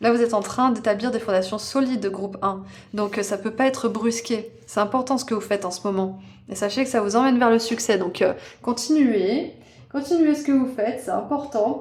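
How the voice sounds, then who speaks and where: Ordinary pitch variation at a moderate pace from a woman with a fairly high pitch. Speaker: tarot reader. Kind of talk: tarot card reading. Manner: casual, hesitant with fillers.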